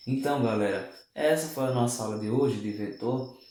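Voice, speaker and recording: Audible room echo hangs around a man's fairly slow speech. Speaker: math and physics teacher. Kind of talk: online lesson. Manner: slurs words at times.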